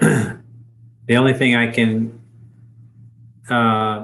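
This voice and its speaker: With audible room echo, a man of medium pitch speaks in a flat monotone. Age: 60s. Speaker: dharma group leader. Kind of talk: group discussion. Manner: halting.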